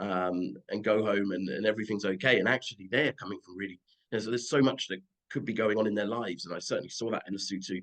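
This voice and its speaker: Very fast speech in a British accent with fairly even intonation. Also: man. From United Kingdom. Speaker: football agent. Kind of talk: interview answer.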